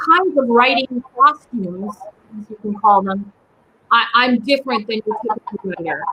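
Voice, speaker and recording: In a Polish accent, a woman speaks at a fairly high pitch. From US, Polish immigrant family. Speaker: writer and small business owner. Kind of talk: interview conversation.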